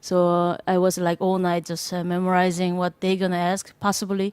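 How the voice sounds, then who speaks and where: A woman with a Korean accent, medium pitch, monotone, flat intonation, moderate pace, and a dry, close sound with no echo. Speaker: jazz drummer. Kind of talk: panel discussion. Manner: halting.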